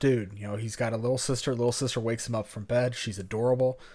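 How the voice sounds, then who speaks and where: On a very clean recording with a silent background, a man with an American accent speaks at medium pitch with fairly even intonation. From US South. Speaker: podcast co-host. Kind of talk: casual chat.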